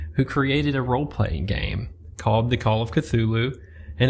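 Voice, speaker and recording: A man speaks at a medium pitch with a Southern US accent, somewhat breathy, with lively intonation. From US South. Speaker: book podcast host. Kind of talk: book review monologue.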